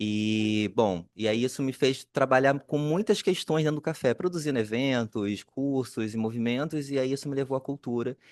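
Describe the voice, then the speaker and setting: Against a quiet background with a dry, close sound and no echo, the voice moves at a moderate pace with hardly any pauses and ordinary pitch variation. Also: man, medium pitch for a man. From Brazil, Rio de Janeiro (Duque de Caxias, Baixada Fluminense). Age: 40s. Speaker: cultural producer, panelist. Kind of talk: panel discussion self-introduction. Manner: halting.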